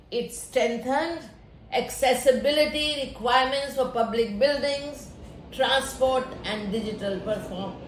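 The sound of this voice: Heard with strong room echo, the speech moves at a fairly slow pace with ordinary pitch variation and few pauses. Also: woman, high pitch for a woman.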